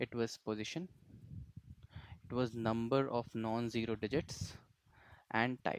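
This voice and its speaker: The sound is dry and close with no echo as a man speaks in a medium pitch. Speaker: programming tutor. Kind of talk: tutorial. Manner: hesitant with frequent fillers.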